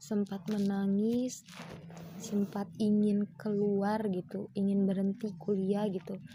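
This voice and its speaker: Speaking very slowly, a woman at medium pitch keeps a monotone, flat intonation. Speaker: university student. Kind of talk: personal testimony. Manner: casual, with fillers.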